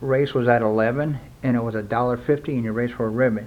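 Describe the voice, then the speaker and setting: Speaking with an American accent, a man uses a plain, everyday voice at a medium pitch with fairly even intonation. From US South, South Florida. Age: 60s. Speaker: BMX collector and former racer. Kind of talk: casual review. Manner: conversational, with fillers.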